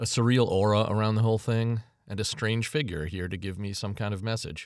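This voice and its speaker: A man talks at a moderate pace. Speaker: author and narrator. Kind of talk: scripted first-person fiction narration, read aloud.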